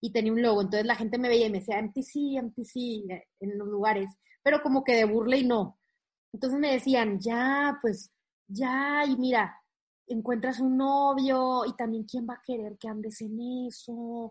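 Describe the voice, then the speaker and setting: A woman with an ordinary speaking voice talks at a fairly slow pace against a quiet background. Her pitch is fairly high and her intonation fairly even. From Monterrey, northern Mexico. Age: young. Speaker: motivational coach and content creator. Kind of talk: interview conversation.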